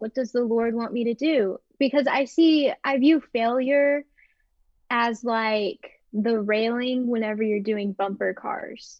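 A woman talks at a very slow pace. Her pitch is fairly high, with ordinary variation. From Texas, Dallas. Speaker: college student and online shop owner. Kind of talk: casual interview.

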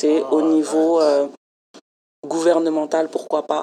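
A woman speaks at a fairly slow pace in a very deep, low voice. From France. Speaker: community program coordinator. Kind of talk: interview.

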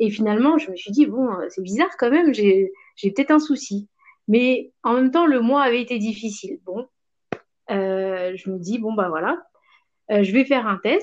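Her intonation lively and her pitch fairly high, a woman moves at a moderate pace broken by long, frequent pauses. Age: 30s. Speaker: stay-at-home mother of twins. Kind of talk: casual chat.

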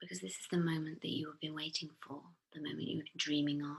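A woman's very deep, low voice, soothing in tone, with vocal fry. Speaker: therapist and podcast host. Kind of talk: guided meditation. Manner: slow, soothing.

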